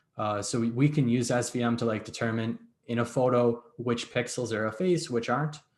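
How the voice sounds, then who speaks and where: A man with an unremarkable speaking voice talks at a fairly quick pace. His medium pitch carries fairly even intonation. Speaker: data science instructor. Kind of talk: lecture.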